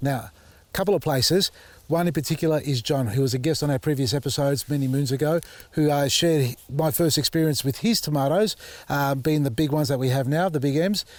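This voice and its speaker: This man talks at a fairly quick pace with an Australian accent. His pitch is fairly high, with ordinary pitch variation. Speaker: gardening YouTuber. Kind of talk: casual vlog talk to camera. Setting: outdoors in garden. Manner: animated.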